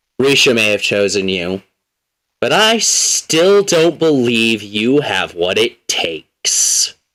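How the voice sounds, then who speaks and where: In a gravelly put-on character voice, a man talks at a medium pitch and a fairly slow pace. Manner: doubtful, imposing.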